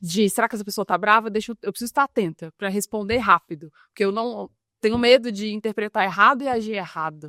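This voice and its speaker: Her tone bright and sharp, a woman speaks at a very fast pace with a fairly high pitch and ordinary pitch variation, the sound dry and close with no echo. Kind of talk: casual interview chat.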